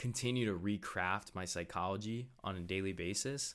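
On a very clean recording with a silent background, a man with a normal speaking voice talks at a fairly low pitch with fairly even intonation. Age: 20s. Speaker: podcast host. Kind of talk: solo personal-development monologue. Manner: casual, with frequent fillers and repetitions.

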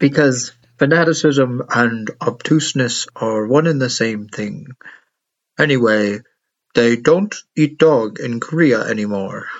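Man's put-on character voice, robotic, medium-pitched and fairly slow. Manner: flat, mechanical.

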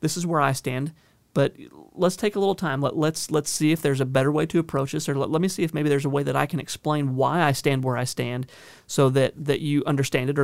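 In a Southern US accent, a man talks very fast at a fairly high pitch with fairly even intonation. The recording is very clean, with a silent background. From Northern California. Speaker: county sheriff. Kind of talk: interview. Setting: studio. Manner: repeats words often, halting starts.

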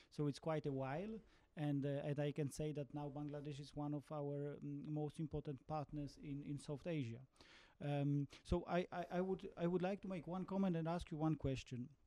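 A man with a Polish accent, fairly high in pitch, dark and mellow in tone, with fairly even intonation and a moderate pace. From Poland. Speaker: ambassador asking audience question. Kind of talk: audience question. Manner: halting, repeats words.

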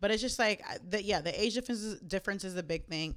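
A normal speaking voice belongs to this woman with an American accent, whose medium pitch shows ordinary variation in a very clean recording with a silent background. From Jamaica, Queens, New York. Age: 20s. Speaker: podcast co-host. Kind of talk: casual chat. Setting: home recording.

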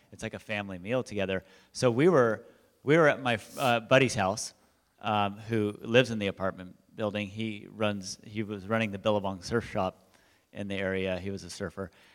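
Against a silent background in a very clean recording, a man with an ordinary speaking voice talks at a moderate pace, fairly low in pitch and with fairly even intonation. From Southern California, Huntington Beach. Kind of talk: testimony. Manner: casual, filler-heavy.

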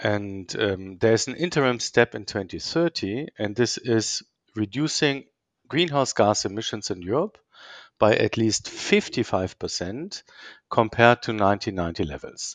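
In an ordinary speaking voice, a man of medium pitch talks at a fairly slow pace with lively intonation, the sound dry and close with no echo and the background quiet. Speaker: policy think tank director. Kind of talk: interview explanation.

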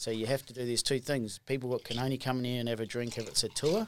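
With an Australian accent, a man talks at a medium pitch with fairly even intonation. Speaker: distillery co-owner. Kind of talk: casual chat.

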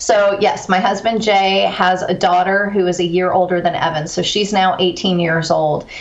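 In an American accent, a woman at medium pitch speaks at a moderate pace in a monotone, flat intonation, with very even loudness, hardly any pauses and noticeable background noise. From Texas (Corpus Christi), early childhood on US East Coast. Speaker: author and resilience speaker. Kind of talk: interview conversation.

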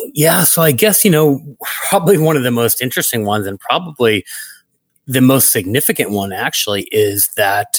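Using an American accent, a man speaks at medium pitch and a fairly quick pace with very wide pitch swings. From Brooklyn, New York. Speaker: networking industry executive. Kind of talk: interview conversation.

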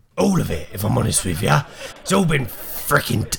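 A man's raspy, put-on character voice at a medium pitch and moderate pace. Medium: actual play. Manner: blunt, rough working-class grammar.

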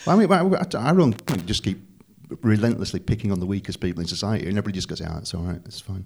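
A man with a northern English accent speaks at a very fast pace. His pitch is fairly low, with ordinary variation. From northern England. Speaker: comedy venue manager. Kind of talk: casual chat.

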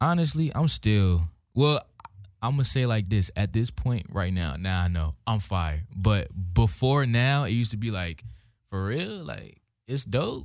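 A man with an American accent at a fairly low pitch and a fairly slow pace, his pitch swinging very widely, on a very clean recording with a silent background. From Hampton, Virginia, US. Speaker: rapper / recording artist. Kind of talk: casual interview.

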